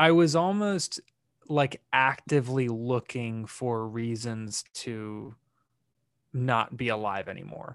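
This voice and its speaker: A man at medium pitch speaks at a very slow pace with lively intonation. The recording is very clean with a silent background and a dry, close sound with no echo. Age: 20s. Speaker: mental health advocate. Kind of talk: casual chat. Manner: animated.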